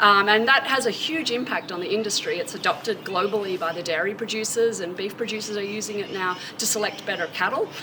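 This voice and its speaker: A woman's medium-pitched voice with ordinary pitch variation, a very fast pace and hardly any pauses, over noticeable background noise. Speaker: university animal science extension specialist. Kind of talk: interview answer.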